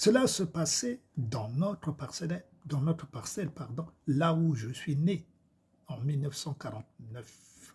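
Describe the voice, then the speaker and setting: Speaking very slowly, a man with a fairly high pitch uses lively intonation and sounds somewhat breathy. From Congo. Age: 70s. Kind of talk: testimony.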